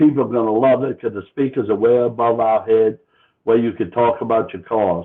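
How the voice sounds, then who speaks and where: Speaking with a New Orleans accent, a man keeps a medium pitch and a moderate pace. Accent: Chalmatian (New Orleans area). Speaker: car club organizer. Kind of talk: casual interview.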